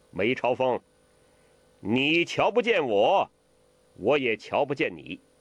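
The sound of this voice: A man does a put-on character voice at a medium pitch with big pitch swings. He speaks at a slow pace.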